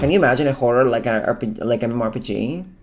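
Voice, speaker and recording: Over music in the background, a woman with a non-native accent and a very deep, low pitch speaks in an animated tone at a very fast pace. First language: not English. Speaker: gaming reaction youtuber. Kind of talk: reaction commentary.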